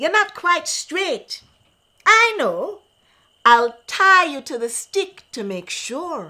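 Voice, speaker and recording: A woman speaks very slowly in a put-on character voice, raised and projected, at an extremely high pitch with very wide pitch swings. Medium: read story. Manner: sly, wheedling.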